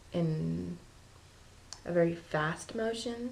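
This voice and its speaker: Room echo is audible in this clip. A woman is speaking. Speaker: vlogger. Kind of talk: casual vlog. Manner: hesitant, many ums; quiet, low voice.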